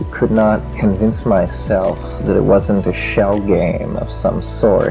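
With music behind him, a man speaks in a fairly low register. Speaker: speaker. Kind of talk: lecture.

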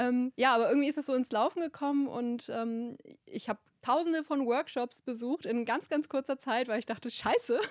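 Here a woman speaks at a high pitch with ordinary pitch variation. Her pace is moderate, and the background stays quiet. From northern Germany, rural Hamburg area; northern Germany. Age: 20s. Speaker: wedding photographer; podcast guest. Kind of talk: podcast interview, casual chat; interview answer. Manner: many filler words (ähm). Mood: relaxed, friendly, animated. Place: studio. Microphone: handheld.

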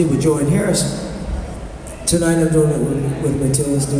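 A man speaks with monotone, flat intonation, amid noticeable background noise and audible room echo. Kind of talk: stage banter. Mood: jovial, laughing. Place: hall. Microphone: pa.

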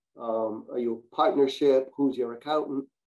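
A man's medium-pitched voice, dark and mellow in tone, at a moderate pace.

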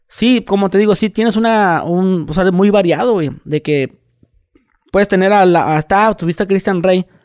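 Speaking at a moderate pace with very even loudness, a man has a high pitch and ordinary pitch variation, and the sound is dry and close with no echo. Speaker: podcast host / youtuber. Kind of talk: casual chat.

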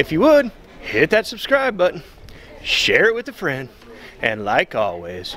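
At a fairly slow pace, the voice comes through with a dry sound with no echo and light background noise. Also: man. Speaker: travel vlogger. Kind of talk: casual vlog outro. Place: street. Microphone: phone near.

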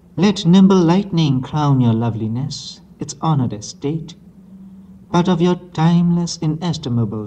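The tone is dark and mellow. There is a somewhat breathy quality. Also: man. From Myanmar. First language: Burmese. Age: young. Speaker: poet. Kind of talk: poetry reading. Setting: old analog tape recording. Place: hall. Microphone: old recording.

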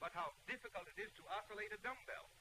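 Light background noise accompanies a man with a high pitch. His pace is fairly quick, with ordinary pitch variation. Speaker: film narrator. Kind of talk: 1930s sales film narration. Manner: formal, measured, declamatory newsreel-style announcer delivery; earnest and persuasive, rhetorical questions and a promotional push. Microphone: old recording.

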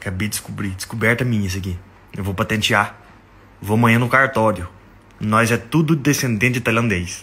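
A man at a moderate pace, with long, frequent pauses and ordinary pitch variation. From Brazil, Minas Gerais. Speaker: comedy content creator. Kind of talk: casual comedic monologue. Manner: animated. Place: home room. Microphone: phone near.

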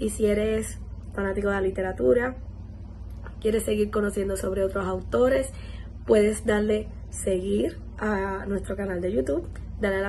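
With lively intonation, a woman speaks at a moderate pace over light background noise. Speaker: podcast host. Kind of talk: podcast outro address to viewers. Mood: friendly, upbeat. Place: home room. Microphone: phone near.

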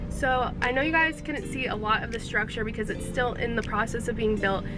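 Clear music plays behind a woman who speaks at a fairly quick pace in a dry sound with no echo. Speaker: sports vlogger. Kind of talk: casual vlog chat. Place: car. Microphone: phone near.

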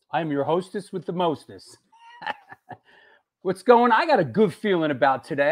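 A man's intonation rises and falls in a lively way, with quiet all around him. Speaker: show host. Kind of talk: livestream show host chat. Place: home room. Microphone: earbuds.

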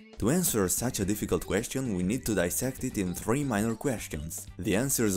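Music sounds behind a man whose intonation is lively. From Italy. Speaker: gaming YouTuber. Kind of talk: video essay narration.

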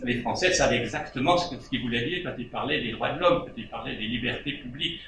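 Very fast speech from a man with ordinary pitch variation, audible room echo and light background noise. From Switzerland. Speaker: panelist. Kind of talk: panel discussion remarks. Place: home room.

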